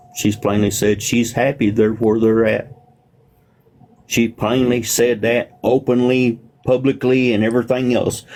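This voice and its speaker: Speech comes at a fairly slow pace with fairly even intonation. Noticeable background noise is present. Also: man. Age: 60s. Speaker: livestreamer. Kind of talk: casual chat.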